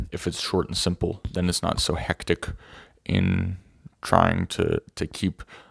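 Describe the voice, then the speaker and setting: A man speaks in a very deep, low voice, somewhat breathy and flat in a monotone, with a dry, close sound and no echo. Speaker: self-improvement video creator. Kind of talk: casual talking-head monologue. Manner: fast; halting, many fillers and restarts.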